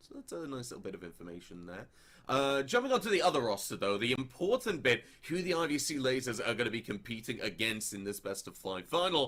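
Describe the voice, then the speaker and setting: Very fast and with big swings in loudness, a man in an English accent talks at a medium pitch that takes very wide pitch swings. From England. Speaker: esports caster. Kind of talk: live commentary.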